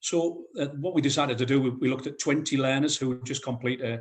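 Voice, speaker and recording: A man's medium-pitched voice at a moderate pace. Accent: northeast English. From North East England. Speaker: head of construction at a college. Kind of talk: conference presentation. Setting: video call.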